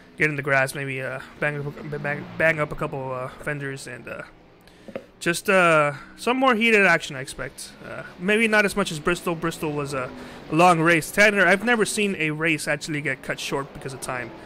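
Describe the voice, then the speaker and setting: A bright, sharp tone shows big swings in loudness along with ordinary pitch variation. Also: man, fairly high pitch for a man, moderate pace. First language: not English. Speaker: sim racing commentator. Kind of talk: live commentary. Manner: halting.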